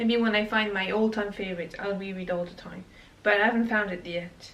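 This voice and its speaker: With a non-native accent, a woman talks at a fairly quick pace in a medium pitch, her intonation monotone and flat and her loudness swinging widely, over noticeable background noise. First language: not English. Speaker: booktuber. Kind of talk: casual chat. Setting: home, reorganizing bookshelves.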